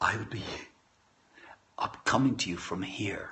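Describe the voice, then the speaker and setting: A man talks at a fairly slow pace. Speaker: livestream host reading poetry. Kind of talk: casual chat. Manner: soft-spoken.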